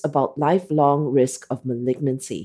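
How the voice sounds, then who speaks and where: The pace stays moderate as a woman speaks. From Asia. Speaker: cardiologist and journal editor hosting podcast. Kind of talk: interview; scripted summary reading. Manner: animated.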